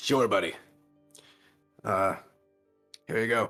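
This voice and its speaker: The put-on character voice sounds raspy, with faint music in the background. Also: man, medium pitch for a man. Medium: actual play. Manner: calm, laconic.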